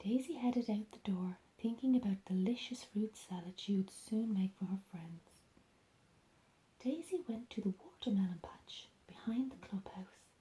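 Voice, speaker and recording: Whispering and soft-spoken, a woman sounds somewhat breathy, her loudness swinging widely. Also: moderate pace. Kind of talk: ASMR bedtime storybook reading. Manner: soft-spoken, whispering.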